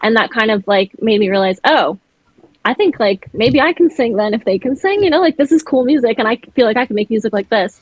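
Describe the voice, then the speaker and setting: At a fairly quick pace, a woman talks in an animated tone with lively intonation. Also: fairly high pitch for a woman. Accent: Montreal. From Montreal, Quebec. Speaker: singer and actor. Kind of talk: casual chat. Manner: animated, hand talker.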